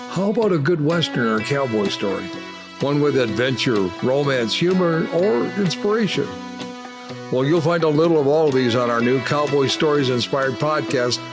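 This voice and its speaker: Over music in the background, a man talks at a moderate pace with a fairly high pitch, lively intonation and very even loudness. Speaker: podcast host. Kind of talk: podcast trailer promo.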